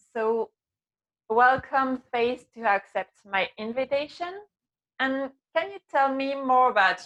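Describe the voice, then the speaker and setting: A woman with a French accent and a high pitch speaks at a very slow pace with long, frequent pauses, lively intonation and big swings in loudness, in a dry, close sound with no echo. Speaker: web TV host. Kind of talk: interview. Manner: halting.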